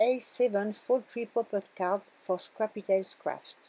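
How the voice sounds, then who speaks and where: Fairly slow and fairly high-pitched, a woman speaks with a French accent. Her intonation stays fairly even. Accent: French accent, non-fluent English. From France. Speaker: card-making crafter. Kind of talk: craft tutorial voiceover. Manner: halting.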